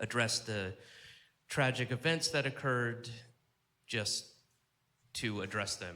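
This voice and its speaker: A man with an American accent has a bright, sharp tone. His pace is fairly slow and his pitch variation ordinary. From Georgia, USA. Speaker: stand-up comedian. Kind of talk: stand-up comedy set.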